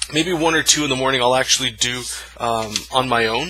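The man's pitch varies in an ordinary way as he talks at a moderate pace, the sound dry with no echo. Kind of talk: tutorial. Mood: relaxed, friendly. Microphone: phone near.

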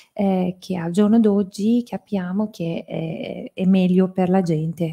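Over a quiet background, a woman with a Persian accent speaks very slowly in a dark, mellow, somewhat breathy tone with fairly even intonation. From Iran (Tehran). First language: Persian (speaking Italian). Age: 40s. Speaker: interpreter. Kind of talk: consecutive interpreting. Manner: halting. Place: hall. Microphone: podium.

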